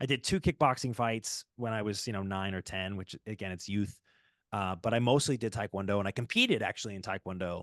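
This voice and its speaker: A man's plain, everyday voice, fairly low in pitch, with ordinary pitch variation and a quiet background. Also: dry, close sound with no echo. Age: 20s. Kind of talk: casual interview answer.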